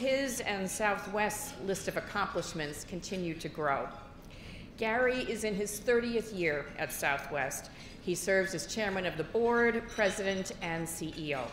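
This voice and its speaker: Lively intonation from a woman, with light background noise and audible room echo. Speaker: event host introducing speakers. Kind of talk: formal introduction speech. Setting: stage with audience. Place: hall. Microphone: podium.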